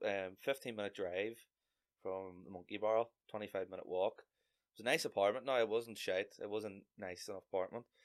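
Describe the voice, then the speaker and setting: Fairly even intonation marks this man's speech. He has a fairly low pitch and a Northern Irish accent. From Northern Ireland (Lurgan, County Armagh). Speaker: comedian. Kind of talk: casual chat.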